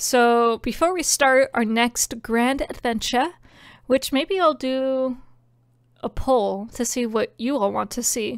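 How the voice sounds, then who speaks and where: At a very slow pace with ordinary pitch variation, the voice sounds dry with no echo over a quiet background. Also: woman, high pitch for a woman. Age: 20s. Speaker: game streamer. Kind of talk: live gameplay commentary. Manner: animated. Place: home room. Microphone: studio mic.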